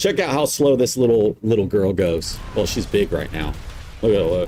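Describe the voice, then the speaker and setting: Over noticeable background noise, a man with an American accent speaks at a medium pitch with lively intonation. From US South. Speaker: video game streamer. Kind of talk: gameplay tutorial. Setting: live stream. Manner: casual, rambling.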